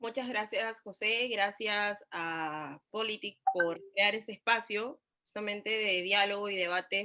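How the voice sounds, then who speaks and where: Her tone is bright and sharp. The woman speaks at a fairly slow pace with ordinary pitch variation. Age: 20s. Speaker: congressional candidate. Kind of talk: political debate.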